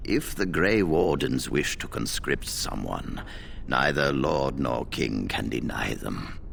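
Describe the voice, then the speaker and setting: A man puts on a character voice and talks at a fairly slow pace, with clear background noise behind him. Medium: video game.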